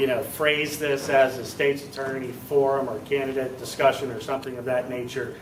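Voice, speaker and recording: Amid noticeable background noise and audible room echo, a man talks at a moderate pace and medium pitch in a monotone, flat delivery. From Maryland, Washington County. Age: 40s. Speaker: political candidate. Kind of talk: town hall Q&A. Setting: town hall meeting.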